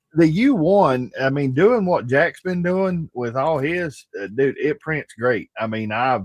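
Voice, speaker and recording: This man talks at a fairly slow pace with hardly any pauses, his fairly high pitch moving in very wide swings. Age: 50s. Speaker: streamer hosting birthday hangout. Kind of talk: casual chat.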